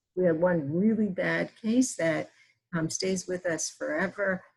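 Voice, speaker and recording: A somewhat breathy voice in an American accent, with lively intonation. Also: woman. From US Northeast. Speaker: physician and breastfeeding educator. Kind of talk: webinar presentation. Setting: online webinar.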